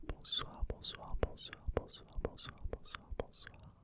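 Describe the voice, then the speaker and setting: The speaker is a man talking in a whisper. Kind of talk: ASMR card opening. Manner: whispered.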